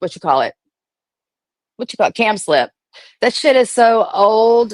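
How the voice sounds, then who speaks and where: The sound is dry and close, with no echo. The voice belongs to a woman. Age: 40s. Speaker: livestream commentator on reality TV drama. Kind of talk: casual livestream rant. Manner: fast; animated.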